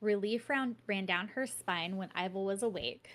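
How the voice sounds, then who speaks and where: On a very clean recording with a silent background, a woman talks at a moderate pace and a medium pitch. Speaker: book podcast host. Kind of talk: reading aloud; casual chat. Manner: stumbling over words.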